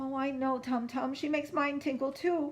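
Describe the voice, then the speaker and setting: A woman uses a put-on character voice pitched high. She keeps a moderate pace. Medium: read story. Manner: emotional, fussy.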